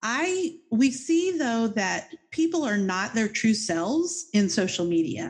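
A fairly high, somewhat breathy woman's voice with very wide pitch swings and a fairly slow pace, set against a quiet background. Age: 50s. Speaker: podcast host. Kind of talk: casual interview chat.

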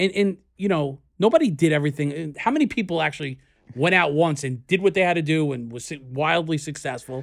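A man speaks at a fairly high pitch and a fairly quick pace with a New York accent. The recording is very clean, with a silent background. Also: ordinary pitch variation. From US Northeast, New York City (Queens). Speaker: podcast co-host, entrepreneur. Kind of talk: casual chat. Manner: halting.

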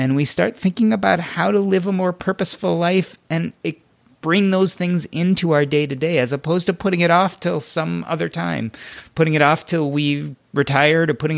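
Fairly high in pitch, a man with an unremarkable speaking voice moves at a fairly quick pace with ordinary pitch variation in a very clean recording with a silent background. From US Midwest (Evanston, Illinois). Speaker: physician and financial blogger. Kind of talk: podcast interview.

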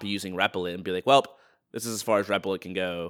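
Sounding dry and close with no echo, a man speaks very fast in a fairly low, bright, sharp voice. His intonation stays fairly even. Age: 30s. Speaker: podcast host. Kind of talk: casual interview. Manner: uses many filler words.

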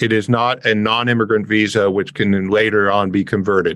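With a Canadian accent, a man speaks in a normal speaking voice, fairly low-pitched, with fairly even intonation at a moderate pace. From Canada (Windsor, Ontario). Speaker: tax and immigration advisor. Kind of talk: interview.

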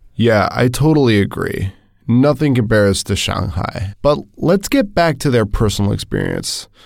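Speaking at medium pitch and a moderate pace, a man uses an ordinary speaking voice with lively intonation. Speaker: podcast co-host. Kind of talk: casual chat.

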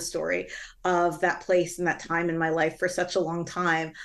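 A woman with a normal speaking voice and a fairly low pitch speaks at a moderate pace over a quiet background. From Toronto area, Canada. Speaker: author and professor. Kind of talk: interview.

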